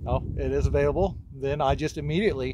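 The sound is dry, without any echo. Noticeable background noise accompanies a man's voice. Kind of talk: tutorial. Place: farm machine. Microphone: phone near.

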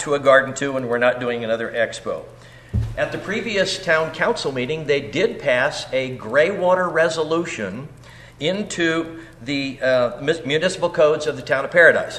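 Noticeable background noise sits behind a man's voice. He speaks at a moderate pace, fairly high-pitched, with ordinary pitch variation. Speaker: public commenter at a board meeting. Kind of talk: public comment at a meeting.

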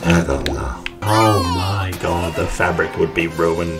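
A man with ordinary pitch variation, clear music playing behind him. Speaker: gamer. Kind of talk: gameplay commentary. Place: home room.

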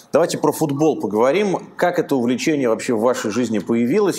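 A man speaks at a fairly quick pace in an ordinary speaking voice, with medium pitch and lively intonation. Light background noise can be heard. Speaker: interviewer host. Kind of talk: interview. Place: studio. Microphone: lapel.

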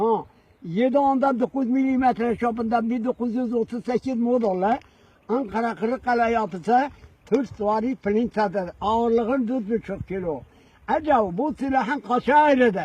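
The sound is dry and close, with no echo. A man speaks at an extremely high pitch with ordinary variation. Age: 80s+. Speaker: village elder, former soldier. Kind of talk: storytelling, recounting a military memory.

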